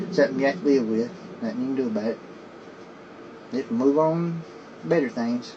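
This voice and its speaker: A man talks at a fairly quick pace and a fairly high pitch, with lively intonation and long, frequent pauses. Noticeable background noise is present. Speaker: paranormal investigator. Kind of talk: spirit box session. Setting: at home desk. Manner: slurred; halting.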